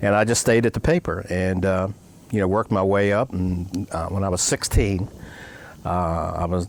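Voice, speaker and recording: Speaking with an American accent, a man keeps a moderate pace. His voice is very deep and low, with fairly even intonation. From Maryland, near Annapolis. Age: 70s. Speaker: newspaper publisher. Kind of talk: interview. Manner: casual, halting with fillers.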